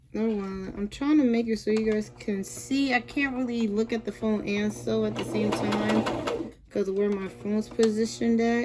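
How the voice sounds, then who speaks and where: Noticeable noise sits in the background. Over it, a woman speaks at a moderate pace. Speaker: sewing tutorial vlogger. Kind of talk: tutorial. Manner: casual, halting with fillers.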